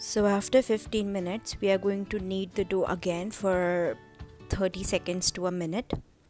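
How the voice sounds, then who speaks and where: A woman at medium pitch and moderate pace, monotone and flat in intonation, over music in the background. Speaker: home cook. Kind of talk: cooking tutorial.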